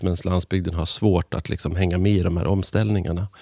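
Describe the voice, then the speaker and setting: Dark and mellow in tone, a man's very deep, low voice holds fairly even intonation in a dry, close sound with no echo. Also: very clean recording, silent background. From Sweden, Hälsingland. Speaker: journalist and author. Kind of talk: interview conversation. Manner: halting, many restarts and fillers.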